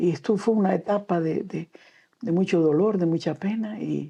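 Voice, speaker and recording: A woman with a Canarian accent, fairly low-pitched, with a dark, mellow tone and vocal fry, at a moderate pace with ordinary pitch variation. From Canary Islands, Gran Canaria. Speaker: children's author and storyteller. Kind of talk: interview. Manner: halting.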